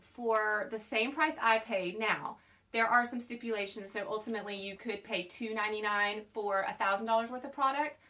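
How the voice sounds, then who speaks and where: A woman with a Southern US accent speaks at a fairly high pitch in a bright, sharp tone. Her pace is moderate and her pitch varies in an ordinary way. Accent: Southern American. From US South. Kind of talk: unboxing video. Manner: casual, chatty.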